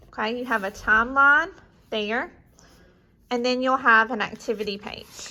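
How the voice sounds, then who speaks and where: With a slight Southern US accent, a woman speaks at a high pitch in a bright, sharp tone. Her pace is fairly slow, with ordinary pitch variation. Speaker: homeschool curriculum reviewer. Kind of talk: product walkthrough. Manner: casual, conversational.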